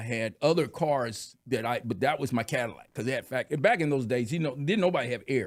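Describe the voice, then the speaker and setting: A man speaks with an American accent in an ordinary speaking voice, with ordinary pitch variation at a fairly quick pace. The recording is very clean with a silent background. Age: 60s. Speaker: podcast guest, car restorer. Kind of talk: casual chat.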